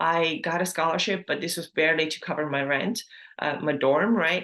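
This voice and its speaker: A woman talks at a fairly quick pace with an Estonian accent. Her pitch is fairly low and her intonation fairly even. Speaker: health and fitness coach, podcast host. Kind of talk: personal story monologue. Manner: casual, with many fillers.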